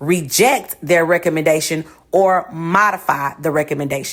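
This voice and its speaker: A woman speaks in an animated tone. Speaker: podcast host, teacher. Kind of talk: casual advice monologue.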